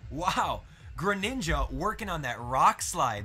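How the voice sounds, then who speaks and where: Over music in the background, a man speaks at a moderate pace in an energetic, enthusiastic tone. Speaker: Pokemon commentator (audition). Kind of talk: live game commentary, esports-style.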